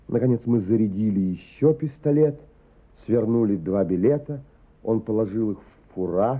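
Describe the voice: The text is read aloud. The reading is plain.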